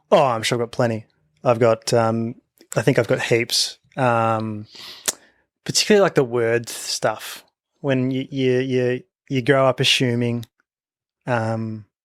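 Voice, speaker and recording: A medium-pitched man with an Australian accent, at a fairly slow pace with long, frequent pauses, in a dry, close sound with no echo. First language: a non-English home language. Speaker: podcast co-host. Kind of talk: casual chat.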